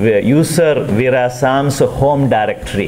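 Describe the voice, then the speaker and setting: A very slow man's voice at medium pitch with ordinary pitch variation, plus noticeable background noise and audible room echo. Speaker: university lecturer. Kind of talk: lecture.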